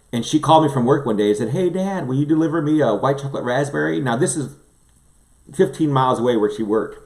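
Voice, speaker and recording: At a very fast pace, a man with a fairly high pitch speaks in an animated tone with lively intonation. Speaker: livestream host, former pastor. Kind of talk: casual chat.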